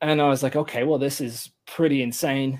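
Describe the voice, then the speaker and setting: A man with an English accent speaks in a fairly high voice in a very clean recording with a silent background. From England. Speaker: content marketer. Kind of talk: casual interview.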